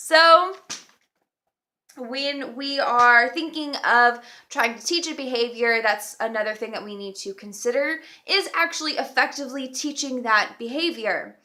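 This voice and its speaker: A woman speaks in a raised, projected voice at a fairly slow pace, her pitch high and her tone bright and sharp, with ordinary pitch variation, big swings in loudness, and a very clean recording over a silent background. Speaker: dog trainer. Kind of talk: casual educational talk to camera.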